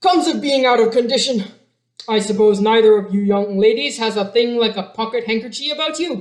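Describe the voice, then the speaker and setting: A put-on character voice, fairly high in pitch, at a fairly quick pace. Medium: read story. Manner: polite, humble.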